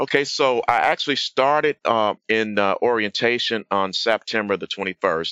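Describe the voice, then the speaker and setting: Hardly pausing, a man with an American accent speaks at a moderate pace and medium pitch with ordinary pitch variation. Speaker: program graduate and software engineer. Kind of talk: interview chat. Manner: halting, many fillers.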